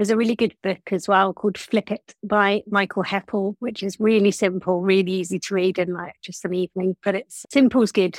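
With a plain, everyday voice, a woman speaks at medium pitch and a fairly quick pace, hardly pausing, her intonation fairly even and the sound dry and close with no echo. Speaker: HR business partner, audience participant. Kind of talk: audience contribution. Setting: video call.

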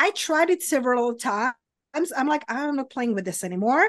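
In a Czech accent, a woman talks at a moderate pace with a high pitch and very wide pitch swings against a quiet background. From Czech Republic. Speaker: abundance coach. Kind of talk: casual interview chat. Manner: chatty, many fillers.

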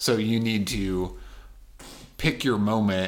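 The man's intonation stays fairly even. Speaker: podcast co-host. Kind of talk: casual chat about card game.

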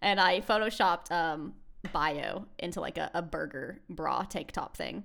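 A woman with an American accent speaks at a fairly low pitch with ordinary pitch variation and vocal fry. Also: very clean recording, silent background. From United States. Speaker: podcast co-host. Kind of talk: casual chat.

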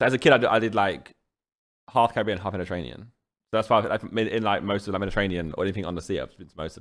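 A man speaks at a very fast pace in a fairly low voice. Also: ordinary pitch variation. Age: 30s. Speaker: YouTuber and podcast co-host. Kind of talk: casual chat.

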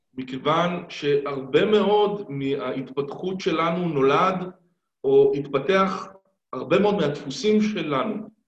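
A man's high-pitched voice at a very slow pace, with ordinary pitch variation and audible room echo. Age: 50s. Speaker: stuttering therapist. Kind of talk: interview.

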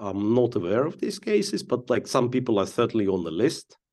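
A man with a fairly low-pitched voice speaks with a Ukrainian accent. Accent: Russian-speaking Ukrainian. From eastern Ukraine, Donetsk. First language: Russian. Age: 40s. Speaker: chess grandmaster and commentator. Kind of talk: casual interview.

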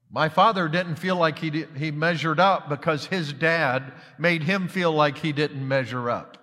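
An unremarkable speaking voice from a man with an American accent, fairly high pitch and a moderate pace. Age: 60s. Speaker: missionary pastor. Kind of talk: sermon. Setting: church.

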